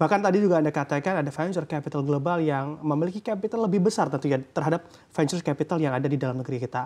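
A man rattles off words very fast, with hardly any pauses, his fairly high voice showing ordinary pitch movement. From Indonesia. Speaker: news anchor. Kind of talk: news interview. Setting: studio. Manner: formal. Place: studio. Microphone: lapel.

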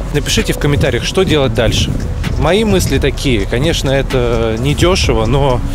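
A man at a fairly quick pace, dry sound with no echo, and music in the background. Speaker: vlogger. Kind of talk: casual vlog chat.

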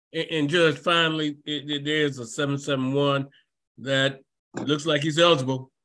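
Against a quiet background, a man with a fairly high pitch and a bright, sharp tone talks at a fairly slow pace in a monotone, flat intonation. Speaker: defense attorney; attorney in court hearing. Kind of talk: court argument. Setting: video call. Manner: halting, repeats words. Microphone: video call.

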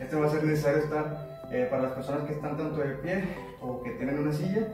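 With clear music in the background and audible room echo, a man speaks at a fairly quick pace with ordinary pitch variation. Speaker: fitness instructor. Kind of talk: tutorial. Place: empty room. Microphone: camera far.

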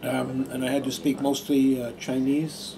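A man is speaking. Background noise is noticeable. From Adelaide, Australia. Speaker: former Buddhist monk. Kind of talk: talk to an audience. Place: meeting room.

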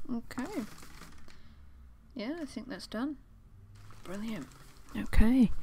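Quiet and whispering, a man speaks at a very slow pace against light background noise. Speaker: ASMR creator. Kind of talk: ASMR roleplay, whispered close-mic talk. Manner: quiet, close-mic, whispery. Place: home room. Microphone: studio mic.

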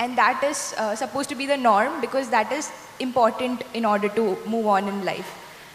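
A woman talks at a fairly quick pace in a high voice with ordinary pitch variation, with audible room echo and light background noise. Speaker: event compere; panelist. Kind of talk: moderated Q&A. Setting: stage with audience. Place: stage. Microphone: handheld.

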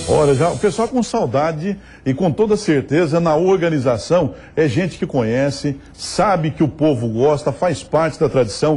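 At a moderate pace, a man speaks in a fairly high pitch with a dark, mellow tone and lively intonation. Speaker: TV show host presenter. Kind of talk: TV regional program presenter talk to camera.

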